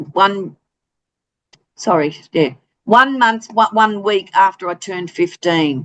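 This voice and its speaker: A woman with an Australian accent speaks at a very slow pace and medium pitch, her lively intonation broken by long, frequent pauses. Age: 60s. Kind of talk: interview. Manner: hesitant, many fillers.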